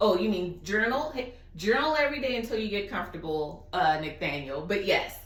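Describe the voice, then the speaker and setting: In a Southern US accent, a woman at medium pitch makes very wide pitch swings, with audible room echo and noticeable background noise. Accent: southern drawl. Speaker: guest speaker. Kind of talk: Q&A on video call.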